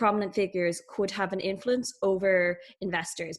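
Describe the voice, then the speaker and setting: Medium pitch, a fairly quick pace, from a woman. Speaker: debate adjudicator. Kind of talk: spoken feedback on a debate. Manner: fast.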